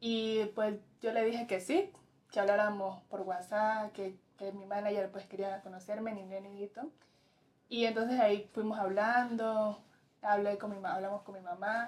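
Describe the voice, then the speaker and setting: The speaker goes at a fairly slow pace in a flat monotone, with big swings in loudness. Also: woman, medium pitch for a woman. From Colombia, Pacific coast (Tumaco, Nariño). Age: young. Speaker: fashion model. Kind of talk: interview answers. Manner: halting.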